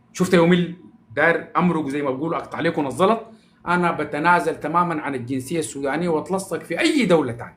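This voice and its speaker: Talking at a fairly quick pace in an animated tone, a man with a Sudanese accent uses a high pitch with ordinary variation. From Sudan, Omdurman. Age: 40s. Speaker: social media personality. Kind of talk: casual live-stream monologue.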